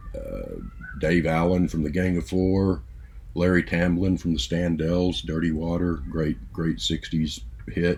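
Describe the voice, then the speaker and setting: His pitch is very deep and low, with ordinary variation. The man speaks at a fairly slow pace. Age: 60s. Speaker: music vlogger. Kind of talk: casual monologue. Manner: halting, many fillers.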